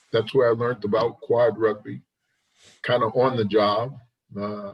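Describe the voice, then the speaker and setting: The speaker is a man with a somewhat breathy voice. His intonation is monotone and flat. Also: medium pitch for a man, moderate pace. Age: 60s. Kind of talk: casual chat.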